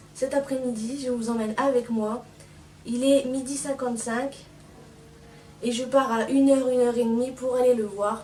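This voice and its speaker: Noticeable background noise sits under a woman's high-pitched voice. She speaks at a moderate pace in a monotone, flat intonation, with long, frequent pauses. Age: 20s. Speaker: pony owner. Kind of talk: vlog voice-over.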